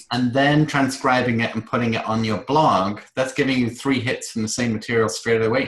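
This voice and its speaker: A man with a British accent at a medium pitch, moderate pace and fairly even intonation, with hardly any pauses. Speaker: online course coach. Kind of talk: group video call workshop Q&A.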